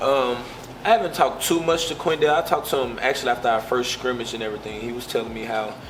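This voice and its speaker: A man talks very fast at a medium pitch, with ordinary pitch variation and big swings in loudness. Noticeable background noise is present. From US South, Pine Bluff, Arkansas. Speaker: college football player. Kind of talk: interview. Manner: casual.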